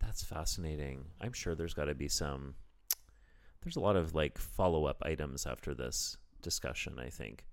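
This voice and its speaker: Vocal fry marks this man's very deep, low voice, spoken with a Canadian accent. He keeps a moderate pace and ordinary pitch variation, with long, frequent pauses. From Canada. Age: 40s. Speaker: comedian. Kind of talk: casual chat. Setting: his apartment.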